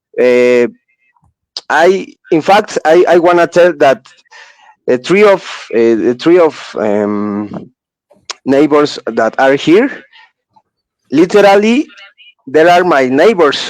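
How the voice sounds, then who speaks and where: In a Spanish accent, the speaker goes at a very slow pace with long, frequent pauses, very wide pitch swings and very even loudness. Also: man, fairly high pitch for a man. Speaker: podcast host. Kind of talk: casual chat. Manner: halting.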